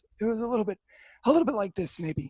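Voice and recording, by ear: A raspy, put-on character voice from a man, high-pitched and very fast, with very wide pitch swings.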